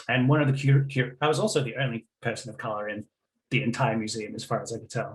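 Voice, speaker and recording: The voice is somewhat breathy, with fairly even intonation. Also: man. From Australia, Melbourne. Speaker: game studies academic. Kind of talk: conference presentation. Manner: hesitant, many fillers.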